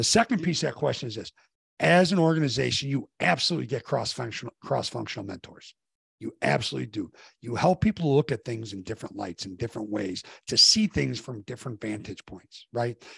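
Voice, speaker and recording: Over a quiet background, a man with vocal fry and medium pitch talks at a fairly quick pace with very wide pitch swings and big swings in loudness, the sound dry and close with no echo. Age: 50s. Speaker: executive coach, former college basketball coach. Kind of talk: interview conversation.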